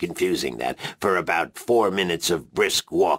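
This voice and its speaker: In a dry, close recording with no echo, a man puts on a character voice. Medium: video game. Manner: rambling, fussy.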